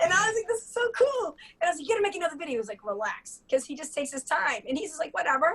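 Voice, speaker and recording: Speaking very fast with an American accent, a woman uses an extremely high pitch, very wide pitch swings, an animated tone and big swings in loudness. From Boston area, US. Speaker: bartender and comedic storyteller. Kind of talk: casual chat.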